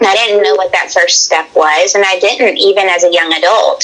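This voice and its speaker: Speaking at a moderate pace with a Southern US accent, a woman is heard over noticeable background noise. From Tennessee. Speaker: hunter. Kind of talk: casual chat.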